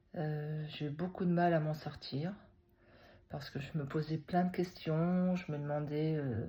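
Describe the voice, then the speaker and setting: Somewhat breathy and dark, mellow in tone, this voice moves at a very slow pace with monotone, flat intonation. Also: woman. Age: 60s. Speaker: retired teacher. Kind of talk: personal testimony vlog. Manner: hesitant, many fillers.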